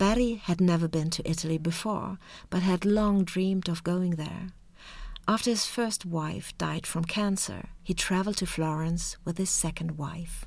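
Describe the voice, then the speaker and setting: On a very clean recording with a silent background, a woman with a Swedish accent speaks at a moderate pace, fairly low in pitch and fairly even in intonation. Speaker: art history lecturer, podcast co-host. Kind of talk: scripted narration. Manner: formal.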